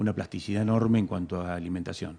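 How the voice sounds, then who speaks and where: With fairly even intonation, a man talks in a dark, mellow tone. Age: 60s. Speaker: bird and wildlife expert. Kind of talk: interview. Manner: halting, many fillers and repeats.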